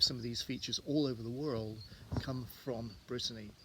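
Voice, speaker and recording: Speaking in a southwest English accent, a man has a medium pitch and fairly even intonation. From southwest England, Devon. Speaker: tour guide. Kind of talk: casual talk to camera. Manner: halting, many fillers.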